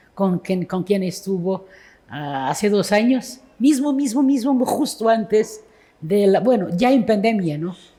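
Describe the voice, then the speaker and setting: Speaking very slowly with a Portuguese accent, a woman has a somewhat breathy voice with a dark, mellow tone. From Portugal. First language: Portuguese (speaking Spanish). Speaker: poet. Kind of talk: literary conversation on stage. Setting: book fair event with audience. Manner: halting.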